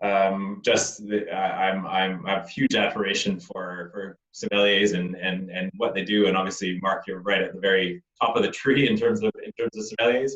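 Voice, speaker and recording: Talking at a moderate pace with hardly any pauses, a man speaks in a Canadian accent. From Canada. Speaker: winemaker. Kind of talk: online wine tasting conversation. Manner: halting, many repetitions.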